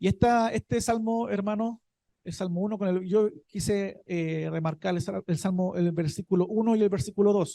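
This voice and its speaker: Recorded dry and close with no echo, a man with a high pitch and a dark, mellow tone speaks at a moderate pace with fairly even intonation. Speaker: deacon preacher. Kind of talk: sermon.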